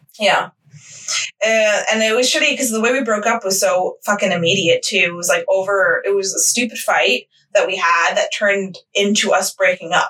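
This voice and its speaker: This woman has a plain, everyday voice with an American accent, a fairly high pitch and ordinary pitch variation. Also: moderate pace. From Westchester, New York. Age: 20s. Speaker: podcast co-host. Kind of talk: casual chat.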